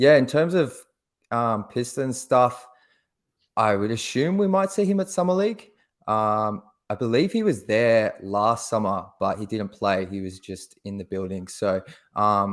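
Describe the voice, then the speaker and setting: A man with an Australian accent and very wide pitch swings, in a very clean recording with a silent background. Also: medium pitch for a man, fairly slow pace. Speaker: basketball podcast co-host. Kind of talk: casual chat.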